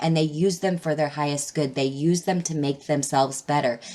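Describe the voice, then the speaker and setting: This woman's voice sits very deep and low in pitch, moving at a moderate pace with ordinary variation in pitch. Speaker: tarot reader. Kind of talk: tarot reading. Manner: casual, filler words.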